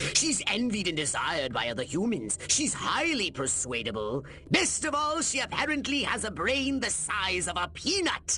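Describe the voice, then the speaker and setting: A put-on character voice comes through at a moderate pace over clear background noise. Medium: video game. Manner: pompous, lecturing.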